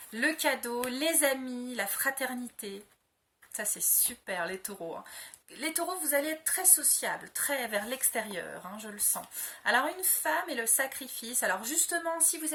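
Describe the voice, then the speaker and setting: A woman's high-pitched voice is raised and projected, with lively intonation. She keeps a fairly slow pace. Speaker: tarot card reader. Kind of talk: astrology reading video. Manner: hesitant, many fillers.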